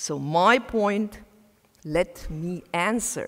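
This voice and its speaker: Lively intonation in a non-native accent. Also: woman. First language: not English. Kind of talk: conference talk.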